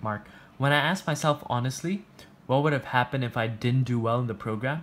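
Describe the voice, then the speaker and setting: Talking at a very fast pace, a man keeps a medium pitch with ordinary pitch variation. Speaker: education youtuber. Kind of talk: personal reflection monologue.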